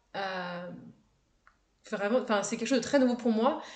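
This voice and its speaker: A woman is speaking. Her pitch is fairly high. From France, Haute-Savoie. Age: 20s. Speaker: travel content creator. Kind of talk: casual interview chat. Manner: hesitant, many fillers and repetitions.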